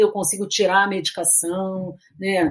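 Somewhat breathy, a woman's voice moves at a fairly slow tempo. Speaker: psychiatrist. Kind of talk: interview. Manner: halting.

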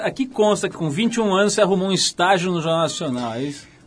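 Noticeable background noise sits behind a man talking at a very fast pace. His pitch is high and swings very widely. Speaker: radio host. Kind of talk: interview. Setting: radio studio.

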